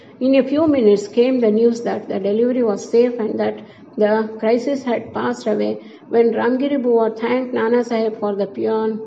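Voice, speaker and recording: A woman's fairly high, monotone voice with flat intonation at a moderate pace, over noticeable background noise. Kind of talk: audiobook narration. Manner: formal, even-paced reading.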